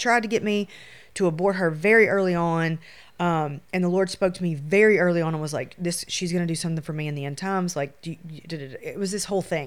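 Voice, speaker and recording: Woman with a Louisiana accent, fairly low pitch and fairly quick pace, on a very clean recording with a silent background. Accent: US Southern (Louisiana). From Shreveport, Louisiana. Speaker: photographer. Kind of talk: casual chat.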